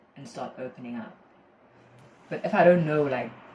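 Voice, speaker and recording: Talk races along at a very fast pace against noticeable background noise. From South Africa, KwaZulu-Natal. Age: 20s. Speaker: university student. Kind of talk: casual chat.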